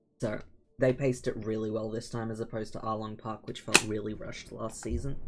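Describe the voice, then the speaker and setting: The speech runs at a very fast pace with fairly even intonation, over noticeable background noise. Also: man, medium pitch for a man. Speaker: gaming streamer. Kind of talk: casual chat.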